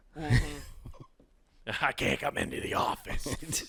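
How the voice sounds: A man does a raspy, put-on character voice at a fairly high pitch. He speaks at a fairly slow pace.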